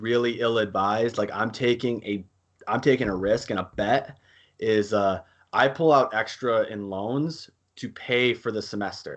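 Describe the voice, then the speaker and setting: Talking at a moderate pace, a man with an ordinary speaking voice and medium pitch speaks with an American accent. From US Midwest, central Wisconsin. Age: 20s. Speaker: college student and amateur cage fighter. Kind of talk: casual interview.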